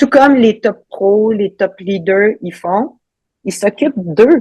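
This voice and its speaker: Speaking at a very slow pace with a Quebec accent, a woman sounds somewhat breathy, her fairly high pitch showing ordinary variation. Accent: Québécois. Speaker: ultra trail runner, coach. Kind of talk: podcast interview answer.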